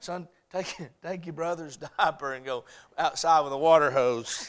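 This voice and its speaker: A fairly high-pitched man with an American accent, at a moderate pace with ordinary pitch variation, in a very clean recording over a silent background. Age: 30s. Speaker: pastor. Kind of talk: sermon. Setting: church. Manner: animated.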